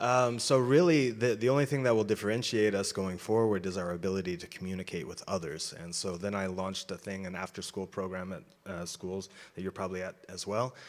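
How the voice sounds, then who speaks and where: A man with a fairly low pitch, ordinary pitch variation and a fairly quick pace, his loudness swinging widely. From United States. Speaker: business school founder and professor. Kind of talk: unprepared remarks to an audience. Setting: stage event with audience. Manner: halting, with many fillers.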